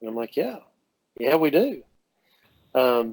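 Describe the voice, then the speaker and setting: A man with a slight Southern US accent speaks at medium pitch with ordinary pitch variation. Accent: slight Southern drawl. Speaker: dental technician. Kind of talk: podcast interview. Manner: animated, halting with many fillers.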